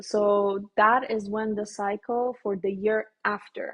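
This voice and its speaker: A somewhat breathy woman's voice with a Persian accent and fairly even intonation. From Iran. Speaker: dental student. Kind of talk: casual interview chat.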